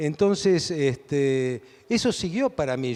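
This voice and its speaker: With lively intonation and a fairly high pitch, a man talks as music plays in the background. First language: Hungarian (speaking Spanish). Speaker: philosopher and author. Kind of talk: interview.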